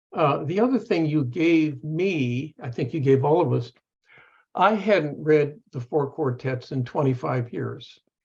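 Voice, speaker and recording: A somewhat breathy man talks at a very slow pace. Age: 70s. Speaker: professor. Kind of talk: panel discussion. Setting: video call. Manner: halting.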